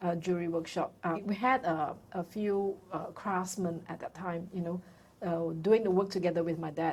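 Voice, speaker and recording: Using an unremarkable speaking voice, a woman talks at a moderate pace with fairly low pitch and fairly even intonation. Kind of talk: interview.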